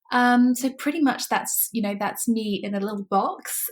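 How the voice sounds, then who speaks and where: In a British accent, a woman talks at a moderate pace with a fairly high, somewhat breathy voice and fairly even intonation. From UK. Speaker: online business manager. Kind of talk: podcast interview.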